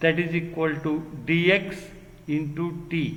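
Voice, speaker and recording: A man's fairly high voice stays monotone and flat, with audible room echo and noticeable background noise. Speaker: engineering lecturer. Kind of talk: lecture. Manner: slow.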